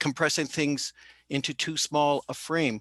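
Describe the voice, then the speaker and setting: This man has an unremarkable speaking voice, fairly high in pitch, in a dry, close sound with no echo. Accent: Canadian. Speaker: panelist. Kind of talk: panel discussion response. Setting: video call.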